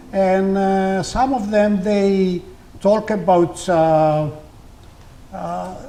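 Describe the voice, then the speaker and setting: A man with a Greek accent, very slow, with ordinary pitch variation and audible room echo. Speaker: community leader and folk poet. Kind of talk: interview. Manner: halting, many fillers.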